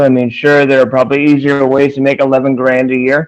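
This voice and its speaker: Here a man speaks at a moderate pace. He has an unremarkable speaking voice with a fairly high pitch. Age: 40s. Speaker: stand-up comedian. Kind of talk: stand-up. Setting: video call.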